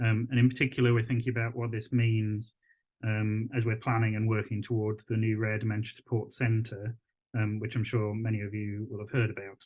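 A man with monotone, flat intonation at a fairly quick pace, over a quiet background. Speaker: visual artist and arts consultant; presenter. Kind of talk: pre-recorded video presentation. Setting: pre-recorded video. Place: home room. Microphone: video call.

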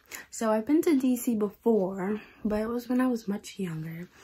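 A woman speaks in a somewhat breathy voice. Her tone is dark and mellow. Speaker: vlogger. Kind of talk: casual vlog chat. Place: home room. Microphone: phone near.

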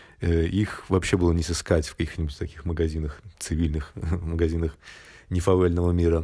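A man speaks in a very deep, low pitch with a dark, mellow, somewhat breathy tone. His intonation is monotone and flat, on a very clean recording with a silent background. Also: moderate pace. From Belarus. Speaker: traveller vlogger. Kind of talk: monologue storytelling. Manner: casual, with filler hesitations.

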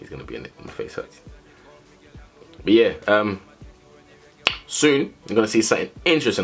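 Faint music plays behind a man speaking at a fairly quick pace. His loudness swings widely, and he leaves long, frequent pauses. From England, UK. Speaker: vlogger. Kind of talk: casual vlog talk to camera. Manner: casual, chatty. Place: home room. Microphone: phone near.

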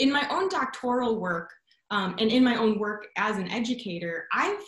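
Against a quiet background, a woman with an American accent talks at a moderate pace in a fairly high pitch, and the room echo is audible. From Chicago suburbs, US Midwest; Illinois. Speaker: education researcher; guest, science educator. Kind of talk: lecture. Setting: video call. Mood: warm, enthusiastic. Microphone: video call.

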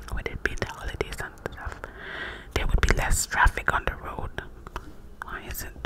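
A woman whispering at a moderate pace, with long, frequent pauses. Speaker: ASMR creator. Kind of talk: ASMR storytelling. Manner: cupped whisper. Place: home room. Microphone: studio mic.

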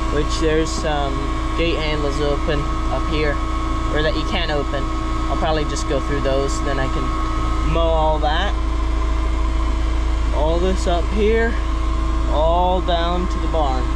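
A man talks at a fairly slow pace, leaving long, frequent pauses. Loud background noise fills the clip. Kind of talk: casual vlog chat. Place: farm machine. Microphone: camera far.

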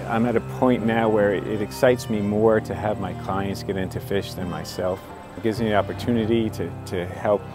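With clear music in the background and a dry sound with no echo, a man speaks at a fairly low pitch and fairly quick pace with ordinary pitch variation. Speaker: fishing guide. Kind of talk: interview answer. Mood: warm, enthusiastic. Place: open country.

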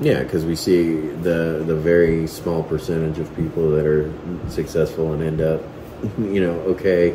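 The voice is monotone and flat at a moderate pace, with audible room echo and noticeable background noise. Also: man, very deep, low pitch for a man. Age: 30s. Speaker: family vlogger. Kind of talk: casual chat. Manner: halting.

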